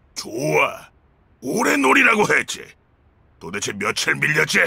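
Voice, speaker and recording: Using a put-on character voice, a man speaks in a raspy tone at a fairly slow pace. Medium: audio drama. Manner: gruff, blunt.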